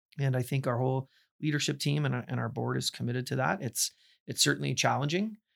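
A man with a Canadian accent talks at a very fast pace in a very clean recording, the sound dry and close with no echo and the background silent. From Ontario, Canada (Burlington). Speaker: university president. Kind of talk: interview conversation.

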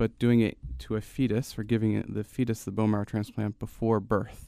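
With an American accent, a man uses an ordinary speaking voice at a fairly low pitch and fairly quick pace, his intonation fairly even, on a very clean recording with a silent background. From New Jersey, Gloucester City. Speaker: fetal surgeon and researcher. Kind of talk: interview. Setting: studio.

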